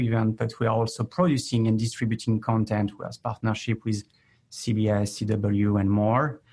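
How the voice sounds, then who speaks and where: A man's medium-pitched, somewhat breathy voice in a French accent at a moderate pace, with a quiet background. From France. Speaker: chief marketing officer. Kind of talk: interview.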